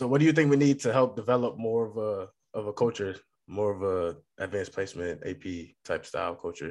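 Against a quiet background, a man uses an ordinary speaking voice, fairly low in pitch, with lively intonation and a fairly quick pace. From Massachusetts. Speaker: podcast host. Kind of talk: interview. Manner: casual.

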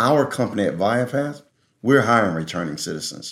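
A man is speaking. His voice has vocal fry. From North Philadelphia, Pennsylvania. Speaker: pastor and prison reentry advocate. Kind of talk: interview conversation.

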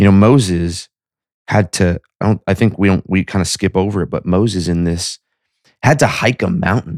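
The delivery has a moderate pace and ordinary pitch variation, with a dry, close sound and no echo. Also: man, fairly low pitch for a man. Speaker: podcast host, business devotional teacher. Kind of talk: devotional talk with scripture reading.

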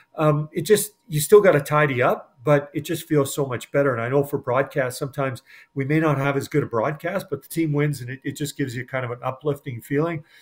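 With a Canadian accent, a man with fairly high pitch and a somewhat breathy voice rushes along at a very fast pace, hardly pausing, his loudness swinging widely and his pitch varying in an ordinary way. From Edmonton, Alberta, Canada. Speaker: sports broadcaster. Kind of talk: casual interview.

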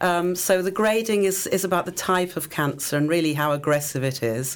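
Recorded very cleanly against a silent background, a woman speaks with an English accent. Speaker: public health educator and cancer survivor. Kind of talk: radio interview. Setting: radio studio.

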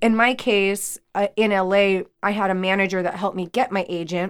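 A plain, everyday voice speaks with fairly even intonation. The recording is very clean, with a silent background. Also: woman. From US, Mexican-American. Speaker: actress and acting coach. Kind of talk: casual chat. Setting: studio.

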